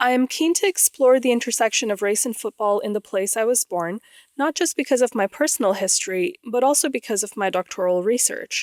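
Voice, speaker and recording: With an American accent, a woman talks at a fairly quick pace with hardly any pauses. Her voice is fairly high, her intonation lively, and the sound dry and close with no echo. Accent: American-sounding. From grew up mostly outside the UK, Pakistani family. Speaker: podcast host, PhD student. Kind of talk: scripted narration.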